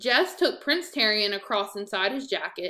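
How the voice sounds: Lively intonation marks this natural reading voice from start to finish.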